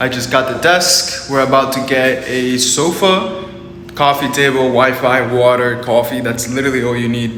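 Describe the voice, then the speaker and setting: A man with a non-native accent talks in an animated tone at a medium pitch. Room echo is audible, and background noise is noticeable. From Arizona. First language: not English. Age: 20s. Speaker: online business coach. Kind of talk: motivational vlog.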